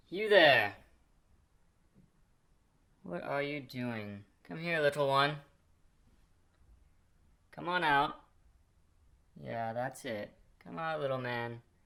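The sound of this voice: A man does a cartoonish character voice, slow and full of long, frequent pauses. His tone is bright and sharp, with vocal fry and lively intonation. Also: medium pitch for a man.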